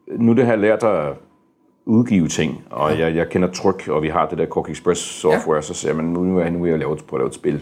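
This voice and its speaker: A man speaks with a very deep, low pitch. His pitch varies in an ordinary way over a quiet background. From Denmark, moved from US at age four. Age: 50s. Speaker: board game publisher. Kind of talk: interview. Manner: halting, many fillers and repeated words.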